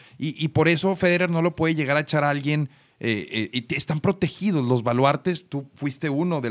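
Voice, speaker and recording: A man speaks in a normal speaking voice, fairly high in pitch with ordinary pitch variation. The recording is very clean, the background silent. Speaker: podcast host. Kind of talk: casual chat.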